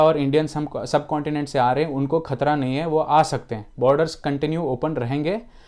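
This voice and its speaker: A man with a non-native accent speaks at a moderate pace with a fairly high pitch. His tone is dark and mellow, and his intonation fairly even. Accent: non-native Hindi. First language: not Hindi (speaking Hindi). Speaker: YouTuber giving immigration and travel updates. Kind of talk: informational vlog. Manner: hesitant, with self-corrections.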